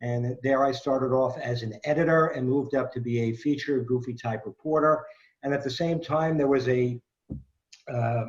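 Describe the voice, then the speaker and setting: With a New York accent, a man speaks at a moderate pace, his pitch fairly high and ordinary in its variation. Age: 60s. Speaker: quizmaster, former sports radio host. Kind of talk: self-introduction at a trivia event. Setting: video call.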